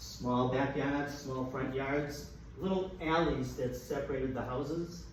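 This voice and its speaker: A man speaks at a fairly slow pace with a Boston accent. The recording has audible room echo and noticeable background noise. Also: medium pitch for a man, fairly even intonation. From Boston, Massachusetts (Dorchester). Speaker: comedian. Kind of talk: stand-up. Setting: stage with audience.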